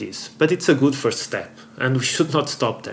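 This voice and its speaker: Somewhat breathy, a man talks at a moderate pace in a medium pitch with ordinary pitch variation. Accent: non-native. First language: not English. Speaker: board game youtuber. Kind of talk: opinion commentary. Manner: halting.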